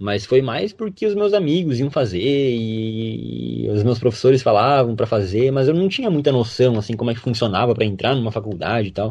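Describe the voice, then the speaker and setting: Over a quiet background, a man speaks in a normal speaking voice at medium pitch and a moderate pace. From western Santa Catarina, Brazil. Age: young. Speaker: medical student. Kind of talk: interview.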